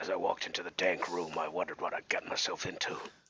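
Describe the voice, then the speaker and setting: Using a put-on character voice, a man speaks very fast at a very deep, low pitch. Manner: mumbling.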